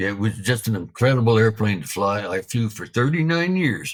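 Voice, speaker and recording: A man's somewhat breathy voice in a relaxed tone, at a moderate pace, with very wide pitch swings. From Canada, Alberta. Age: 70s. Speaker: retired military pilot. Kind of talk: interview storytelling. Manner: casual, relaxed.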